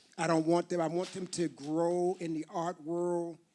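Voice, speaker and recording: A man's high-pitched voice with a dark, mellow tone. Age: 60s. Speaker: artist and performer. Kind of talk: panel talk.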